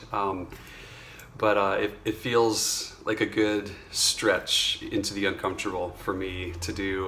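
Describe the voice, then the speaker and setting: A man speaks with a fairly low pitch in a monotone, flat intonation. Noticeable background noise is present. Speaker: vocal coach. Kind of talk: casual talk to camera. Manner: hesitant, many filler words.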